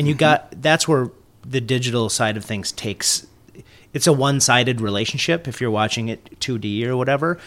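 An unremarkable speaking voice from a man with an American accent, medium pitch, ordinary pitch variation and a fairly quick pace, in a very clean recording with a silent background. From Minnesota, US. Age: 40s. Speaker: business founder, sales and marketing consultant. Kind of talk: casual chat. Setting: studio.

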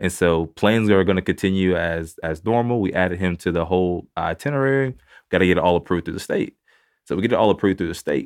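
A man with a Texan accent, very deep and low in pitch, with ordinary pitch variation and a very fast pace. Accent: Texan Southern US. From Northeast Texas, small town Mount Vernon. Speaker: pastor and foster father. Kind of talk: testimony. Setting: studio.

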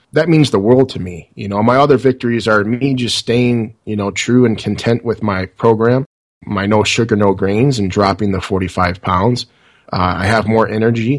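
A man with an American accent talks at a fairly low pitch and a moderate pace. His intonation stays fairly even over a quiet background. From US Midwest, Detroit suburbs. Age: 30s. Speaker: podcaster and IT worker. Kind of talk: interview. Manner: halting, many fillers.

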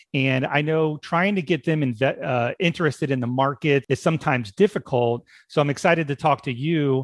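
With hardly any pauses, a man in a normal speaking voice talks at a fairly quick pace and a fairly high pitch, the sound dry and close with no echo. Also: ordinary pitch variation. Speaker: podcast host. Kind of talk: casual interview conversation.

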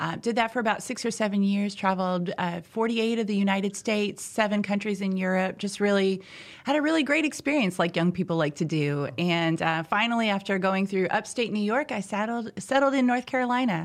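An American-accented woman has an ordinary speaking voice at medium pitch with ordinary pitch variation, talking at a fairly quick pace with hardly any pauses in a very clean recording against a silent background. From US Midwest, southern Indiana. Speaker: life coach. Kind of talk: podcast interview. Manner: frequent laughter.

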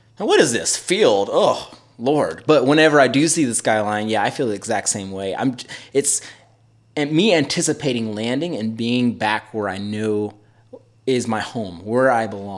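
This man has a normal speaking voice, talking at a moderate pace with medium pitch and lively intonation. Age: 30s. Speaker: podcast host. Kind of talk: casual chat.

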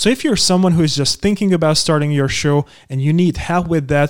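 The man's voice sits at a fairly high pitch with ordinary pitch variation. The sound is dry and close, with no echo. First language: not English. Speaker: podcast host. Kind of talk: scripted narration; interview.

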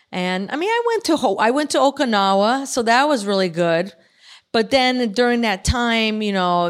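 A woman's plain, everyday voice, fairly high in pitch with lively intonation, in a very clean recording with a silent background. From Chicago. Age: 50s. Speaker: artist and military veteran. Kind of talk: casual interview. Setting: in person at a club.

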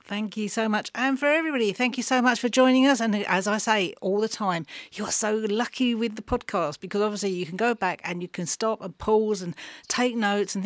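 A woman with an English accent talks at a fairly quick pace. The recording is very clean, with a silent background. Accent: non-Yorkshire English. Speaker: radio and podcast interviewer. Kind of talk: interview conversation. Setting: studio.

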